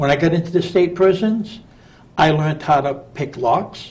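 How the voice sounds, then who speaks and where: A man with a fairly high, somewhat breathy voice speaks at a moderate pace with ordinary pitch variation. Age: 60s. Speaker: prison reformer, former prisoner. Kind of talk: radio interview.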